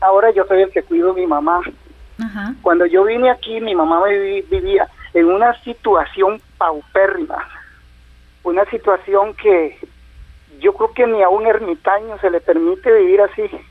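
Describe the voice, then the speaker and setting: Against noticeable background noise, a man with a high pitch speaks fairly slowly with ordinary pitch variation. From Costa Rica, southern Pacific region. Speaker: caller, caregiver of his mother. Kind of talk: phone-in call.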